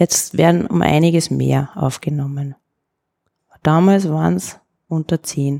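A woman with a very deep, low pitch speaks in a dark, mellow tone with ordinary pitch variation at a fairly slow pace. Long, frequent pauses break up the speech, and the sound is dry and close with no echo. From Upper Austria. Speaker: ceramicist. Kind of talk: casual interview.

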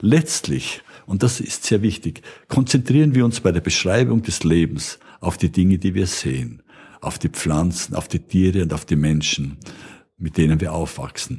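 A man talks at a moderate pace in a very deep, low pitch with vocal fry. His tone is dark and mellow, and his pitch swings very widely. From Austria, Burgenland. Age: 70s. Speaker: retired biochemistry professor. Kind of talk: popular science explanation.

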